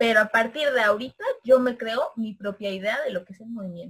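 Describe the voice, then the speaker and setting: A woman speaks at a fairly quick pace and a fairly high pitch. Her voice is somewhat breathy. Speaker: anthropologist and philosophy teacher. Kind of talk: casual interview. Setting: video call.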